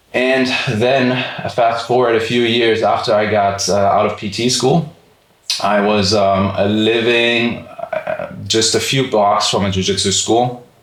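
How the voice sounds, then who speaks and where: At a fairly slow pace, a man speaks at medium pitch with fairly even intonation and very even loudness, with audible room echo and noticeable background noise. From Germany, Frankfurt. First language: German. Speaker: physical therapist and podcast co-host. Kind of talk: casual chat. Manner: many fillers, casual.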